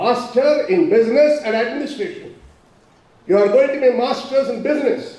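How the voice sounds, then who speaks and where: A loud man speaks at an extremely high pitch with very wide pitch swings, over noticeable background noise and audible room echo. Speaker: professor. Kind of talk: speech.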